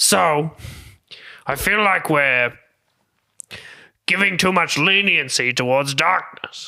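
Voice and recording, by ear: Slow speech with a bright, sharp tone, vocal fry and ordinary pitch variation. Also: man, fairly high pitch for a man.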